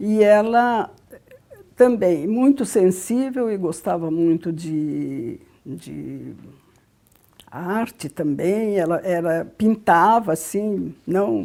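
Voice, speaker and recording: A woman with a medium pitch speaks with lively intonation. Her pace is very slow, with long, frequent pauses. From Brazil, Rio Claro, São Paulo state. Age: 80s+. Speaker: psychologist. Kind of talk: testimony. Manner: halting.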